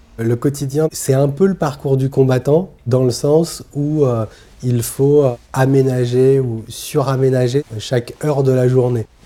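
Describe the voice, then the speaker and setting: At a very slow pace, a man speaks in a dark, mellow tone at medium pitch, with fairly even intonation and very even loudness. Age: 30s. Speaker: person living with muscular dystrophy, documentary subject. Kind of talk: documentary interview testimony. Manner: hesitant, many filler pauses.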